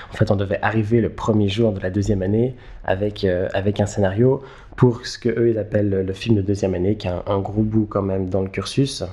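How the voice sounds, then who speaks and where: A man speaks in a monotone, flat intonation at a fairly low pitch. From Switzerland, Geneva. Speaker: film director and screenwriter. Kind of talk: interview. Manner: halting, many repetitions and fillers.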